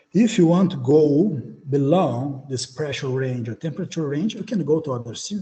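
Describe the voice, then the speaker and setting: A man with a Portuguese accent speaks at a moderate pace and a fairly high pitch. His tone is dark, mellow and somewhat breathy, with ordinary pitch variation. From Brazil. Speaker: beamline scientist. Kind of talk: conference talk. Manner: halting.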